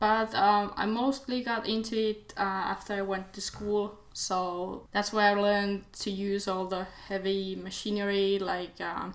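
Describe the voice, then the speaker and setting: Speaking at a fairly slow pace with hardly any pauses, a woman keeps a medium pitch and a monotone, flat intonation. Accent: Finnish. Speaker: DIY video maker, design student. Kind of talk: casual Q&A vlog. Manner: halting, many fillers.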